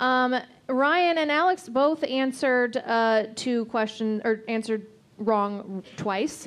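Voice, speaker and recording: Very slowly and at very even loudness, a woman speaks in a high pitch with ordinary variation. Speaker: scorekeeper and show co-organizer. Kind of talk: live quiz show comedy. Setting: stage with audience.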